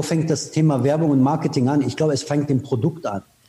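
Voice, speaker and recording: This man talks at a very fast pace in a fairly high pitch, his intonation fairly even. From Iran, raised in Austria from age 15. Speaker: advertising executive. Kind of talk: interview. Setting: remote call. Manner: direct.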